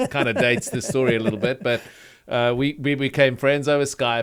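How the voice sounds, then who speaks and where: On a very clean recording with a silent background, a man with a South African accent speaks at a moderate pace with ordinary pitch variation. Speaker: pastor. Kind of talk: interview conversation.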